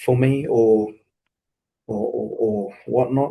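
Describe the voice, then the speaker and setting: A man's medium-pitched, somewhat breathy voice with a New Zealand accent, a dark, mellow tone, and monotone, flat intonation. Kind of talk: interview answer. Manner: hesitant, reflective.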